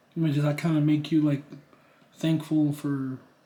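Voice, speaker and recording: A man's fairly high-pitched voice has a dark, mellow tone and sounds somewhat breathy. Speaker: interviewer, partner of the channel owner. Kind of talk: casual interview. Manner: unscripted, conversational.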